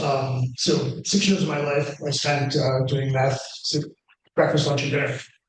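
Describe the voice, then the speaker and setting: A man's somewhat breathy voice, fairly high in pitch, fairly slow, with monotone, flat intonation. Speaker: panelist in addiction recovery. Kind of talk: testimony. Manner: halting.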